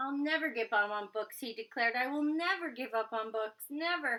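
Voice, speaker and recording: A woman does a put-on character voice, growling at a high pitch. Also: moderate pace. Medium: read story.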